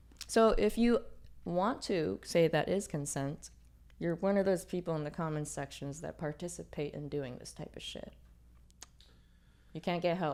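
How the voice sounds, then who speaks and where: A woman speaks at a moderate pace in a fairly low pitch with vocal fry and ordinary pitch variation. Her loudness swings a lot, and she takes long, frequent pauses. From New York City. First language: not English. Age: 30s. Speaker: tattoo artist. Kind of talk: casual chat. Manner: animated.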